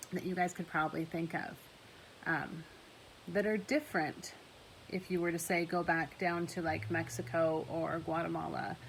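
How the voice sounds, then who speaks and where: Vocal fry at a moderate pace, with audible room echo. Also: woman. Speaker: high school English teacher. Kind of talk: recorded class lecture. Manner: loud; animated, talks with hands.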